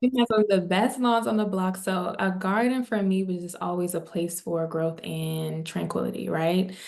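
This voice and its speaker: With an American accent, a woman talks at a moderate pace with ordinary pitch variation and hardly any pauses over noticeable background noise. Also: medium pitch for a woman. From Maryland, US (DMV area). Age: 20s. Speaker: wellness entrepreneur. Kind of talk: podcast interview.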